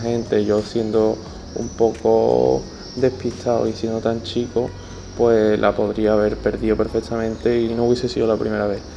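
Moderately paced speech with fairly even intonation, plus audible room echo and noticeable background noise. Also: man. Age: 20s. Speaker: podcaster and club communications intern. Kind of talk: personal monologue. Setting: stadium stands. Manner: halting, frequent repetitions. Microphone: poor audio quality, recorded outside home.

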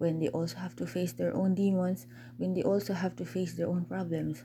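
A woman speaks at a moderate pace. Her tone is calm. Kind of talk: personal monologue.

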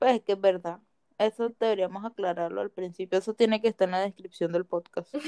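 A woman speaks at a fairly quick pace with a medium pitch and fairly even intonation. Her tone is dark and mellow, and the sound is dry and close with no echo. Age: 20s. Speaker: podcast co-host. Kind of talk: casual chat.

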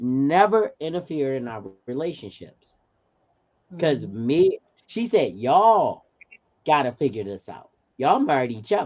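A fairly high-pitched male voice at a moderate pace, with very wide pitch swings, big shifts in loudness and long, frequent pauses. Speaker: parent. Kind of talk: casual chat. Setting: video call.

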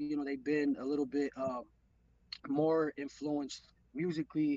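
A fairly high-pitched man with an American accent, at a moderate pace. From Los Angeles, San Fernando Valley. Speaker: rapper and producer. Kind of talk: casual interview.

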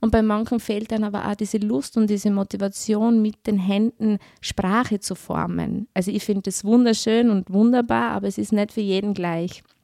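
A woman at medium pitch speaks in a Styrian accent with a dark, mellow tone, monotone, flat intonation and hardly any pauses at a moderate pace. The sound is dry and close, with no echo. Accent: Styrian Austrian German. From Austria, Styria. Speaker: social worker. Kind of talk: interview.

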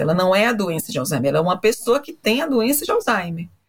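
Talking at a very fast pace, a woman with a medium pitch sounds somewhat breathy, with lively intonation. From Brazil, Fortaleza (Northeast). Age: 40s. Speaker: psychologist and professor. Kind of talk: interview.

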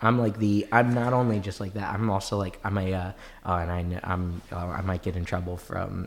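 A man's very deep, low voice with an American accent, fairly quick pace and monotone, flat intonation. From Maryland, US. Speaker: rabbi and bitcoin commentator. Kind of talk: casual chat. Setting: studio.

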